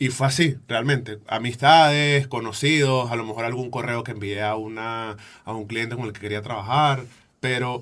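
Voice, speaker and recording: Speaking in a Venezuelan accent, a man at medium pitch keeps a moderate pace and fairly even intonation while his loudness swings widely. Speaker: photographer and podcaster. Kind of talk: interview answer.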